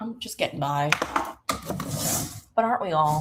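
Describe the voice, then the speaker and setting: A woman with an American accent talks with ordinary pitch variation. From New York. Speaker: online show host. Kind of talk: casual live-stream cooking chat. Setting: kitchen at an Airbnb. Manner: casual, chatty. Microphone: poor stream signal.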